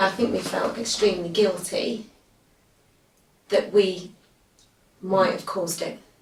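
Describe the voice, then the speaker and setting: At a fairly slow pace and medium pitch, a woman speaks with fairly even intonation and long, frequent pauses in audible room echo. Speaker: parent of a child who stammers. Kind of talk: interview testimony.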